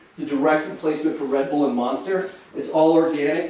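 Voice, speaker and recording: Speaking at a very fast pace and a fairly high pitch, a man is heard with audible room echo and noticeable background noise. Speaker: startup founder. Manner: fluent, no filler words.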